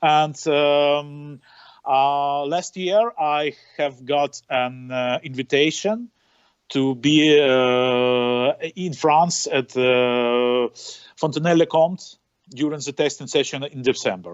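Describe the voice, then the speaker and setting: At a very slow pace, a man with a non-native accent speaks in a fairly high pitch. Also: ordinary pitch variation. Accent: non-native English, noted by himself. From western Ukraine. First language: Ukrainian or Russian. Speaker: racing driver. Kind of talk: interview. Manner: halting, many fillers.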